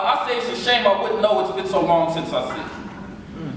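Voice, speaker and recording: Lively intonation marks a man's speech, with noticeable background noise behind it. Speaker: spoken word poet. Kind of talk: spoken word poetry performance. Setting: live audience on a college campus.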